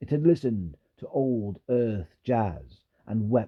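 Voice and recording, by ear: Reading aloud in a natural voice with ordinary pitch variation, the speaker is heard over a quiet background.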